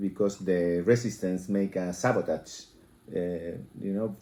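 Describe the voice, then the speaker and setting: Here a man with a Spanish accent talks at a fairly slow pace. His very deep, low voice has a dark, mellow tone and ordinary pitch variation. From Chile. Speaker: interviewee. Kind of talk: interview. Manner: halting.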